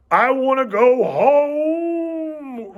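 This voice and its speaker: The voice is a put-on character voice from a man. It rises to an extremely high pitch. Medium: read story.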